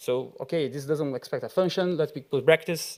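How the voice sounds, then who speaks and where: A man talks at a very fast pace with a Brazilian accent. The recording is very clean, with a silent background. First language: Portuguese. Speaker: software engineer, conference speaker. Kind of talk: conference talk. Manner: halting, many fillers.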